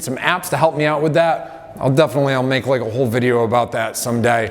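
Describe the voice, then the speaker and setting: A man with a medium-pitched voice speaks over noticeable background noise. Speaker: strength and conditioning coach. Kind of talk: motivational talk to camera. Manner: casual with many fillers.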